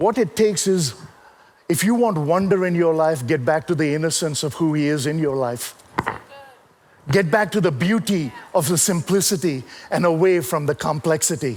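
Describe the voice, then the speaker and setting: Animated in tone, a man with a fairly high pitch and ordinary pitch variation speaks at a moderate pace with long, frequent pauses over noticeable background noise. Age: 60s. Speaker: preacher and motivational speaker. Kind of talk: sermon.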